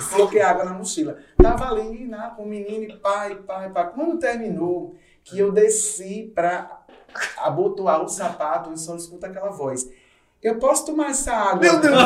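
A high-pitched man at a moderate pace, lively in intonation, with audible room echo and noticeable background noise. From João Pessoa, Paraíba, Brazil. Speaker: DJ. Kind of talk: casual chat.

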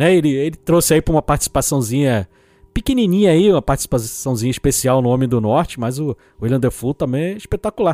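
This man talks at a fairly quick pace in a dark, mellow tone with very wide pitch swings, the sound dry and close with no echo on a very clean recording with a silent background. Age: 40s. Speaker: film podcast guest. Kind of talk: casual chat.

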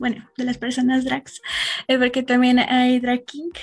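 This woman speaks with a high pitch. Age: 20s. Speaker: activist. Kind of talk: casual chat.

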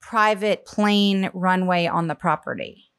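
On a very clean recording with a silent background and a dry, close sound with no echo, a woman speaks with an American accent at medium pitch and fairly even intonation. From US South, Charleston, South Carolina. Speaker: comedic performer and writer. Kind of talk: casual chat.

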